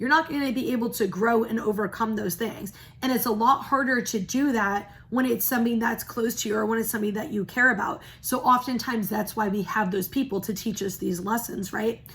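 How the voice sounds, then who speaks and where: This woman's pitch is fairly high and varies in an ordinary way. She keeps up a fairly quick pace. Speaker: spiritual reader. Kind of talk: casual spiritual talk to camera. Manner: fast.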